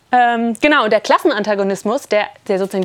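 A woman at a very fast pace with lively intonation over noticeable background noise. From Berlin. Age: 30s. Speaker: economist and activist speaker. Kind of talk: workshop talk. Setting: summer camp workshop with audience. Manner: halting.

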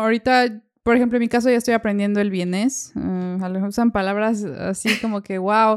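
A woman with a Mexican accent talks at a fairly quick pace and a fairly high pitch. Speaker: podcast host. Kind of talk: casual chat. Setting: video call.

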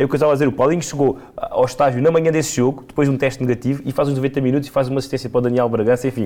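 Very fast and with hardly any pauses, a man at medium pitch speaks in a monotone, flat delivery at very even loudness, with noticeable background noise behind him. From Portugal, Alentejo (Serpa). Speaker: football pundit. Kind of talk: casual football discussion.

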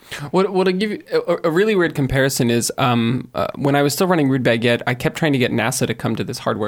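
His intonation is lively. The man's pitch is medium. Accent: American. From US, California (Silicon Valley). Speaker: tech startup blogger and brand director. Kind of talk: casual panel discussion.

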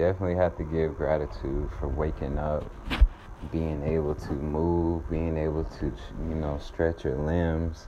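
A man's very deep, low voice with an American accent, fairly slow pace and ordinary pitch variation, amid audible room echo and noticeable background noise. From US South, Atlanta, Georgia. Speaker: podcast host, spiritual healer. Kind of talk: guided meditation; uplifting monologue.

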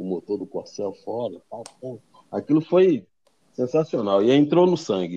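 The man's voice has a dark, mellow tone. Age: 50s. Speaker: auto repair shop owner. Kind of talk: interview.

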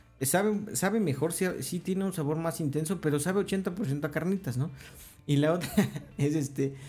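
A man with a Mexican accent, a high pitch and a dark, mellow tone, with ordinary pitch variation and very even loudness. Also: moderate pace. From Mexico. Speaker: podcast co-host. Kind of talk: casual chat.

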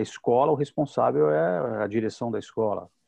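This man has a medium pitch and an unremarkable speaking voice. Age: 50s. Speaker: psychoanalyst and teacher, show presenter. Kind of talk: casual panel discussion.

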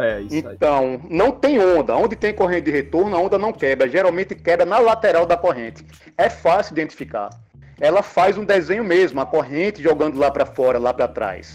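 This man's pitch is high and swings very widely. He keeps up a fairly quick pace. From Brazil, Aracaju, Sergipe. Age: 40s. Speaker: lifeguard and longboarder. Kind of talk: casual podcast interview, giving safety tips.

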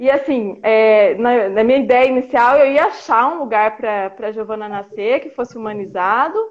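A woman speaks at a fairly high pitch and a moderate pace, with hardly any pauses. Noticeable background noise is present. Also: ordinary pitch variation. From interior of São Paulo state, Brazil. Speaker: mother sharing birth story, health worker. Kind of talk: testimony. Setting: online live stream.

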